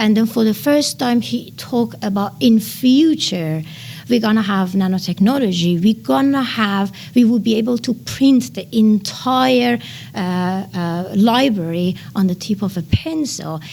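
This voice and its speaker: Delivered at a fairly slow pace in a Persian accent, the speech has very wide pitch swings. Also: woman, medium pitch for a woman. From Iran. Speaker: nanotechnology researcher. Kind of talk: podcast interview. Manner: hesitant, with many fillers.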